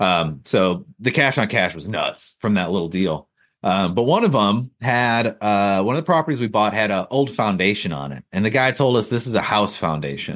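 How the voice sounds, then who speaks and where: Against a quiet background, a man with an American accent talks at a moderate pace with hardly any pauses, his fairly low, plain, everyday voice carrying lively intonation. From rural Wisconsin. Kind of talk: interview.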